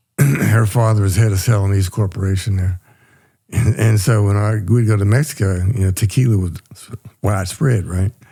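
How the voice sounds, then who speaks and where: The voice has a dark, mellow tone and sounds somewhat breathy. Its pitch varies in an ordinary way. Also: man, fairly low pitch for a man, moderate pace. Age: 80s+. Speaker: retired powerlifter and trainer. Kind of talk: casual chat.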